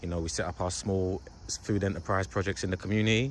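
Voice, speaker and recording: Very deep, low-pitched man with a London accent, very fast pace. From London, England. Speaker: youth worker and video host. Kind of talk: casual interview.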